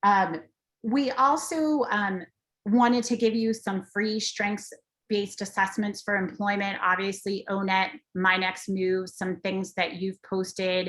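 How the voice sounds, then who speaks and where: A woman with a normal speaking voice talks at a fairly slow pace, with a medium pitch and ordinary pitch variation. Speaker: transition education presenter. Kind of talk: webinar presentation.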